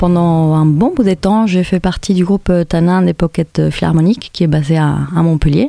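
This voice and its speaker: A woman with a Spanish accent talks at a moderate pace with a fairly low pitch, a dark, mellow tone and ordinary pitch variation, in a dry, close sound with no echo. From Spain, Madrid. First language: Spanish (speaking French). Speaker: musician. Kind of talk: interview monologue. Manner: hesitant, many fillers.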